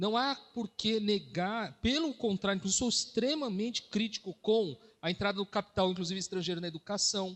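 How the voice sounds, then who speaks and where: The speaker barely pauses at all, using ordinary pitch variation. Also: man, high pitch for a man. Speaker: professor. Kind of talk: panel debate. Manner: fast.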